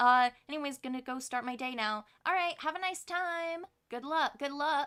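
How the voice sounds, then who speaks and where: A woman projects a raised, high voice with a bright, sharp tone, ordinary pitch variation and a moderate pace. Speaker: streamer. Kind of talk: gameplay livestream.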